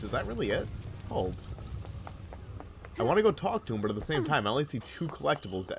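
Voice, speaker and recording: Over music in the background, someone talks at a very fast pace. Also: man. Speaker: let's play commentator. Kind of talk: casual gameplay commentary.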